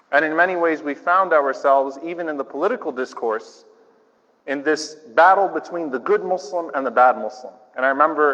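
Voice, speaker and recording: A man with an American accent has an ordinary speaking voice, fairly high in pitch. He moves at a fairly quick pace with ordinary pitch variation. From US South, New Orleans. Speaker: imam. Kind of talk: speech. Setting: church with audience. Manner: conversational.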